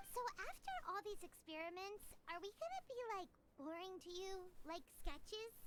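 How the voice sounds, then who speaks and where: An extremely high, squeaky put-on character voice carries the clip. Loud background noise runs underneath. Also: moderate pace. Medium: video game. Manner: casual, inquisitive.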